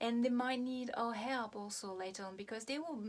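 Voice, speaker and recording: A woman speaks at a fairly high pitch with a French accent. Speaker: hypnotherapist. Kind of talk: video talk to camera. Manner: halting, many fillers.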